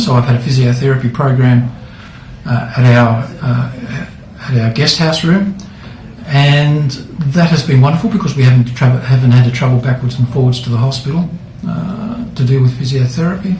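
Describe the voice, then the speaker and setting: Amid noticeable background noise, a man talks at a fairly quick pace in a medium pitch. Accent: Australian. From Australia. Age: 60s. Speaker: hip replacement patient. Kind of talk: patient testimonial interview. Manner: casual, hesitant.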